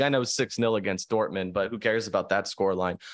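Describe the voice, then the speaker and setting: Using an unremarkable speaking voice, a man talks at a fairly quick pace with lively intonation. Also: quiet background. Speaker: podcast co-host. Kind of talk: casual chat.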